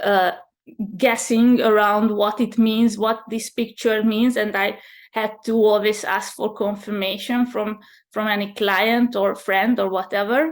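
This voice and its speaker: In a very clean recording with a silent background, a woman with a fairly high pitch speaks at a fairly slow pace in a flat, monotone way. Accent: Hungarian. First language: Hungarian. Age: 30s. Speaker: channeler and spiritual mentor. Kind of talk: interview. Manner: halting.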